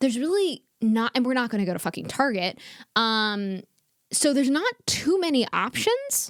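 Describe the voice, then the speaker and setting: An animated woman's voice, high in pitch with very wide pitch swings, at a moderate pace and very even loudness. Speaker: comedian podcast co-host. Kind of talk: casual chat.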